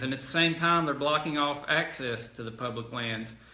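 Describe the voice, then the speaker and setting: Speaking at a moderate pace, a man with a fairly high pitch comes through audible room echo and noticeable background noise. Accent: Arkansas. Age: 40s. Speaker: politician. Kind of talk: telephone town hall. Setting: phone call.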